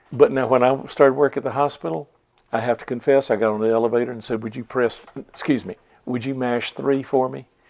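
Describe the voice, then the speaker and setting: With a North Carolina accent, the speaker moves at a fairly quick pace, keeping intonation fairly even while loudness swings a lot. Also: man, medium pitch for a man. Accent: North Carolina Southern. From Chatham County, North Carolina. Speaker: oral history interviewee. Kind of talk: interview.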